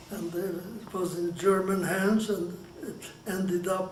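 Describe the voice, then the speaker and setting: A man speaks at a fairly slow pace and high pitch in a monotone, flat intonation. Audible room echo and noticeable background noise surround him. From Hungary. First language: Hungarian. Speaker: Holocaust survivor. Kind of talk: oral history interview. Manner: halting, with many restarts.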